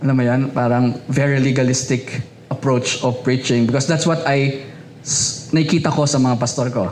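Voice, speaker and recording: Speaking at a moderate pace, a man with a medium pitch keeps a fairly even intonation and very even loudness, with audible room echo and noticeable background noise. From Philippines, Rizal province (Binangonan). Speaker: pastor. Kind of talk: sermon.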